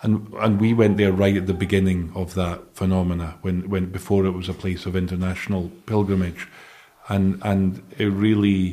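In a Scottish accent, a man speaks at a moderate pace with a very deep, low pitch, a dark, mellow tone and monotone, flat intonation. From Scotland. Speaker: charity director. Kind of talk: interview.

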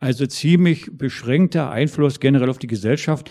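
A man's voice, dark and mellow in tone, comes through with a quiet background. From East Germany. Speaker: former civil rights activist and historian. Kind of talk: panel discussion. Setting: stage with audience.

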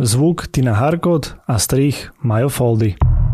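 This man's voice sits at medium pitch and has a dark, mellow tone. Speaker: podcast co-host. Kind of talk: casual interview; scripted outro.

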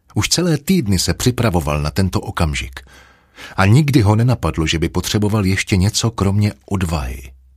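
Somewhat breathy, a man speaks at a moderate pace in a very deep, low pitch that swings very widely. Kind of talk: audiobook reading, literary narration. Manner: measured, even storyteller pacing, dark and brooding mood.

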